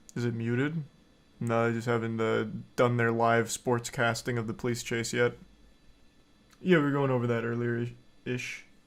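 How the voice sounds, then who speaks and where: A man speaks at a medium pitch in a deadpan tone, with fairly even intonation. His pace is moderate, broken by long, frequent pauses. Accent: American. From United States. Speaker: streamer. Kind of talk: casual live-stream commentary.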